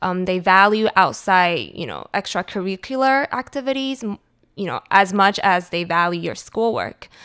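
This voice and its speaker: A woman speaks at a moderate pace in a bright, sharp, medium-pitched voice with lively intonation. The sound is dry and close, with no echo, on a very clean recording with a silent background. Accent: Taiwanese-American. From Taiwan and California (Cupertino). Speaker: food blogger and marketing strategist. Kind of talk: interview.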